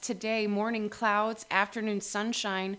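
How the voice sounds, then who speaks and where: A woman speaks in a plain, everyday voice at a fairly slow pace. Her pitch is fairly high. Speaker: radio co-host. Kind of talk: radio DJ patter. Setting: community radio studio, live. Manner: bright, sing-song, banter.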